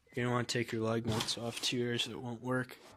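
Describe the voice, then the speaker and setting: A man's medium-pitched, monotone voice with flat intonation over noticeable background noise. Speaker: car DIY youtuber. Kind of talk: tutorial. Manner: casual.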